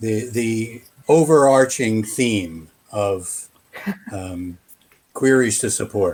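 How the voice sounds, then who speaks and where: A man with an American accent talks at a very slow pace with long, frequent pauses, using a medium pitch and ordinary pitch variation. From United States. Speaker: game support staff. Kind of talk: casual panel discussion. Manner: hesitant, many fillers.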